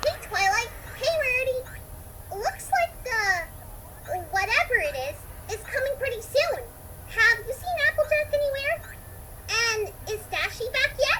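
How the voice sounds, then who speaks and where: In a put-on character voice, a female-sounding speaker goes loud, squeaky and bubbly, with an upbeat tone and extremely high pitch, at a moderate pace broken by long, frequent pauses. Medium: read story. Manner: bubbly, upbeat.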